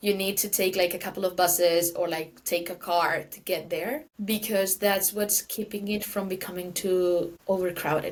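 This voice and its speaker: In a Valencian accent, a woman speaks at a moderate pace with hardly any pauses, her medium pitch fairly even in intonation while her loudness swings widely. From Valencia, Spain. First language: Spanish. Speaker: guest. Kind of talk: casual chat.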